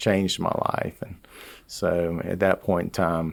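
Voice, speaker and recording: In a very clean recording with a silent background, a man talks at a moderate pace with fairly even intonation and a strong Southern Georgia accent. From US South, rural Georgia. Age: 60s. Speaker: business leader. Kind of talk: interview.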